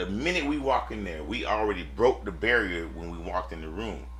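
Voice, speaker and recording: A man talks at a moderate pace with audible room echo around him. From US South, Lakeland, Florida. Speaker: mortgage businessman. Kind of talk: casual chat. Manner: animated.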